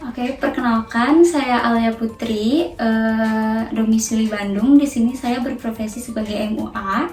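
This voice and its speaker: Against noticeable background noise, a woman speaks at a fairly high pitch and a fairly slow pace, with hardly any pauses. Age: 20s. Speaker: makeup artist. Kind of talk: interview. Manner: hesitant, many fillers.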